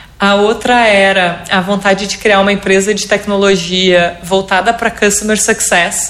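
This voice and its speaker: Noticeable background noise sits behind a woman of medium pitch. She speaks fairly slowly in a monotone, flat intonation. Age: 30s. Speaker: entrepreneur, co-founder and CEO of a business community. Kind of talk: interview.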